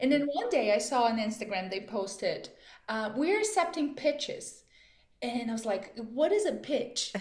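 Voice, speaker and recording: Lively intonation carries the speech at a moderate pace, with audible room echo around it. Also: woman, high pitch for a woman. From Brazil, Amazon region. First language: Portuguese. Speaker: chef. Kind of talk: interview. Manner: animated.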